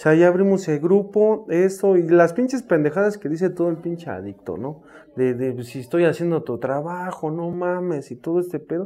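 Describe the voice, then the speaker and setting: The pace is moderate, with hardly any pauses. Pitch varies in an ordinary way. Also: man, high pitch for a man. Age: 30s. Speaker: recovering addict, runs rehab houses. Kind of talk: testimony.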